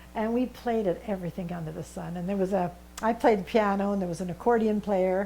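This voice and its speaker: At a fairly quick pace, a woman with a western Canadian accent speaks at a medium pitch. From British Columbia, Canada (Vernon area). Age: 80s+. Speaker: senior volunteer. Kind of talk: interview.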